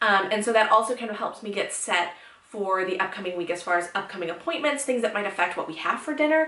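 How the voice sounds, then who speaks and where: A woman's fairly high voice, fairly quick and lively in intonation, with audible room echo and noticeable background noise. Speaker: lifestyle blogger. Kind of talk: casual tutorial vlog. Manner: fast; animated.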